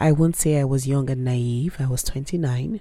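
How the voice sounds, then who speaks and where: A woman's voice comes across as somewhat breathy with a dark, mellow tone. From Nigeria. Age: 30s. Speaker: podcast host. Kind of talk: personal audio journal monologue.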